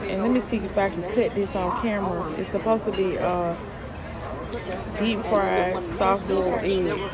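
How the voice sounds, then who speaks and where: Fairly slow speech over crowd noise in the background. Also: woman. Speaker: travel vlogger. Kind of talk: casual vlog chat. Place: cafe. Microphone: phone near.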